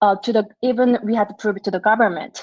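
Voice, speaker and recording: Using an unremarkable speaking voice, this woman keeps a fairly high pitch with ordinary pitch variation. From South Korea (Seoul), moved to US at 11. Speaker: startup founder. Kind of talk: pitch presentation.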